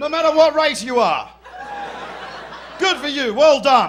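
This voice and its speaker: The speaker has an Australian accent and a moderate pace with ordinary pitch variation. Noticeable background noise and audible room echo fill the recording. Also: man. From Western Australia, Perth. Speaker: stand-up comedian. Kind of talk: stand-up. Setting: stage with audience. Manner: animated.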